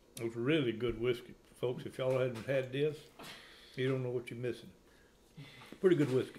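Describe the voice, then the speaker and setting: At a fairly quick pace but with long, frequent pauses, a man speaks in a somewhat breathy, dark, mellow tone of medium pitch and fairly even intonation. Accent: American. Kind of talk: casual conversational storytelling.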